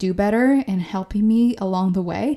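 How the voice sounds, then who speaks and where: The voice has a dark, mellow tone and fairly even intonation at a moderate pace. The recording is very clean, with a silent background. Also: woman. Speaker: podcast host. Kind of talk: solo monologue podcast episode, casual and encouraging. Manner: casual, conversational, laughs often.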